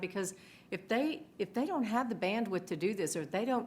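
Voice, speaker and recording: A woman with ordinary pitch variation amid noticeable background noise. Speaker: e-discovery lawyer. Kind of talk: panel discussion. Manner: loud.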